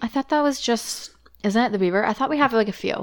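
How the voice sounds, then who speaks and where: A woman's plain, everyday voice at a fairly quick pace, ordinary pitch variation, and a dry, close sound with no echo. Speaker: podcast host.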